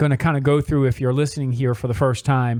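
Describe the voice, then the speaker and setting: A man with an American accent uses a normal speaking voice, fairly high in pitch with ordinary pitch variation, in a very clean recording with a silent background. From Philadelphia area, US. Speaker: radio show host, mortgage loan officer. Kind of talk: radio talk show interview.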